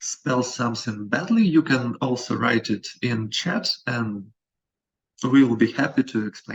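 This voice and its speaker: A man's somewhat breathy voice at a fairly slow pace, with ordinary pitch variation. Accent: non-native. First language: not English. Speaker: company representative, presenter. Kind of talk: webinar presentation. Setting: video call. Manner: halting.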